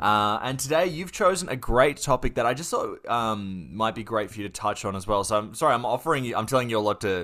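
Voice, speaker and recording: A man with an Australian accent talks fairly quickly with hardly any pauses and lively intonation. His medium-pitched voice has a bright, sharp tone on a very clean recording with a silent background. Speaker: podcast host. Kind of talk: casual interview hosting.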